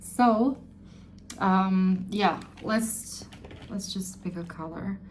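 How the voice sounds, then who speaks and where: Very slow speech from a woman at a medium pitch, fairly even intonation, audible room echo. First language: not English. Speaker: beauty vlogger. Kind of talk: tutorial. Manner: halting; casual.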